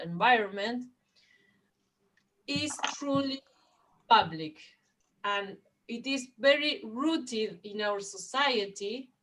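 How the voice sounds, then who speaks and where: A woman speaks with a Spanish accent. Her pitch sits fairly high. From Argentina. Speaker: education policy expert. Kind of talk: panel discussion. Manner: halting.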